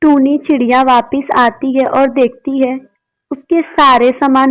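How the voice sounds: A woman's high voice with little pitch movement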